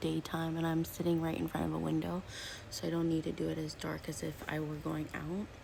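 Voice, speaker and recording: A soft-spoken woman is whispering. Her pace is fairly quick. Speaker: beauty vlogger. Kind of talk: makeup tutorial. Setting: at home, seated by a window. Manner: whispering, soft-spoken; chatty.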